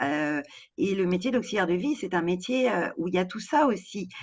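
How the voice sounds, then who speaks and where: A woman speaks with lively intonation. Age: 60s. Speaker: home care worker. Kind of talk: interview. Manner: halting, many hesitations.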